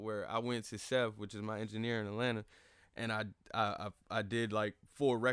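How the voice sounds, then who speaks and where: A man with a plain, everyday voice, fairly even intonation, medium pitch and a moderate pace. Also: very clean recording, silent background. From Fayetteville, North Carolina. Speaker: rapper and videographer. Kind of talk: casual interview.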